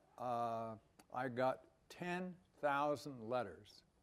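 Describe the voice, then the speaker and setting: This is a man speaking. His intonation is lively. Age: 80s+. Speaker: former university president and professor. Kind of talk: personal talk to an audience. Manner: halting, many filler sounds.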